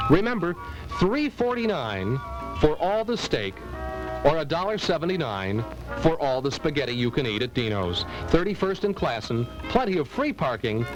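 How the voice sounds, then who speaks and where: Over background music, the speaker moves at a moderate pace with very wide pitch swings and long, frequent pauses. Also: man, fairly high pitch for a man. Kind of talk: TV commercial read.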